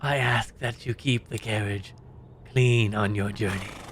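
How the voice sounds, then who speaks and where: Over clear background noise, a man does a put-on character voice at a fairly low pitch and a fairly slow pace. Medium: actual play. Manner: formal, measured, thinly courteous.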